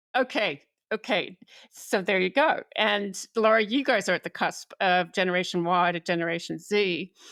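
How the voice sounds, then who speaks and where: A woman speaks in a normal speaking voice at medium pitch and a moderate pace, her loudness very even and her pitch varying in an ordinary way, in a very clean, dry, close recording with a silent background and no echo. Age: 50s. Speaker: podcast host. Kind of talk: interview.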